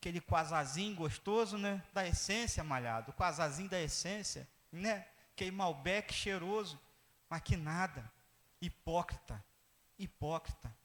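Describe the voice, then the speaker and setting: The delivery is fairly slow, with long, frequent pauses. Pitch varies in an ordinary way. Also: man, high pitch for a man. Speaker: pastor. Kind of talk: sermon.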